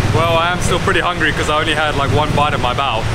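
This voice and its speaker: The speech moves at a fairly quick pace against loud background noise. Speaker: travel vlogger. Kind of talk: casual vlog chat. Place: street.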